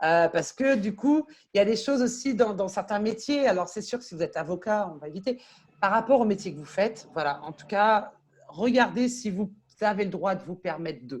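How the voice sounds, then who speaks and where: Somewhat breathy and animated in tone, a woman at a medium pitch speaks at a moderate pace with lively intonation and big swings in loudness. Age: 40s. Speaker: LinkedIn coach and consultant. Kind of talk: interview.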